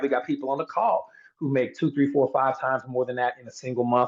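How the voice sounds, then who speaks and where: Energetic in tone, a man talks very fast at a medium pitch. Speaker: sales team trainer. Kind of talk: motivational training call.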